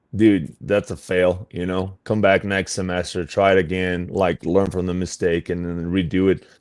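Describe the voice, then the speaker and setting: Against a quiet background, a man with a Portuguese accent speaks at a moderate pace in a very deep, low voice. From Brazil. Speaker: fitness coach. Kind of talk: interview. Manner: casual, full of fillers.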